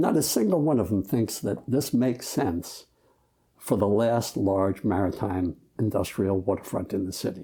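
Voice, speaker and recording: At a moderate pace, a man speaks with a dark, mellow tone, fairly low pitch, ordinary pitch variation and very even loudness. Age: 70s. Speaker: waterfront advocate. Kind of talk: heated debate. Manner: animated.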